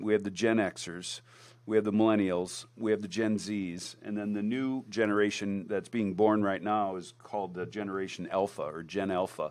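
With hardly any pauses, a man with a normal speaking voice talks at a moderate pace and a fairly low pitch, keeping fairly even intonation. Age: 50s. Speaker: company CEO and founder, co-host. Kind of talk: casual business podcast discussion.

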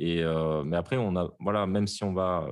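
A man speaks in a very deep, low voice with fairly even intonation against a quiet background. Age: 30s. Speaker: game developer. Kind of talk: interview.

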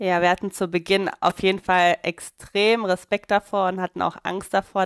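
On a very clean, silent-background recording with a dry, close sound and no echo, a woman speaks at a moderate pace in a normal speaking voice, medium in pitch with fairly even intonation. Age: 30s. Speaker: midwife. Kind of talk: casual interview.

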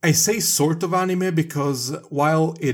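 A man speaks at a fairly slow pace in a somewhat breathy voice with ordinary pitch variation. The recording is very clean, with a silent background. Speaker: podcast host. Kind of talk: casual chat. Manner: hesitant, filler-heavy, joking.

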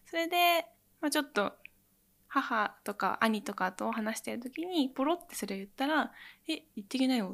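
On a very clean recording with a silent background, a woman speaks at a moderate pace with a high pitch, lively intonation and big swings in loudness. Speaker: cooking researcher and pastry teacher. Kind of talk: interview.

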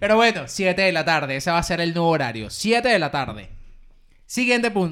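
Bright and sharp in tone, a man speaks at a high pitch and a fairly quick pace with very wide pitch swings, in a very clean recording with a silent background. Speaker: podcast co-host. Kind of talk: casual chat.

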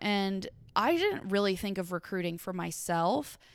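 Very clean and recorded against a silent background, this woman's voice sits at a medium pitch and carries a Kentucky accent. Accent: Kentucky Southern US. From Western Kentucky, Paducah. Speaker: podcast guest, former accountant. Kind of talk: casual chat.

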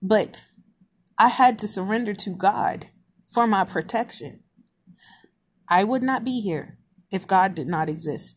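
The voice is somewhat breathy. It leaves long, frequent pauses. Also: woman, medium pitch for a woman, lively intonation, fairly slow pace. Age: 30s. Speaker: podcaster. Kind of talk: casual monologue. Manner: halting.

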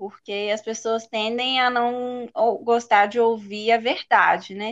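A woman speaks at a very slow pace in a high voice. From Belo Horizonte, Minas Gerais, Brazil. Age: 20s. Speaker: dental student. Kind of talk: casual interview.

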